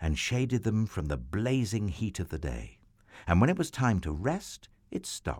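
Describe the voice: Lively intonation over plain reading aloud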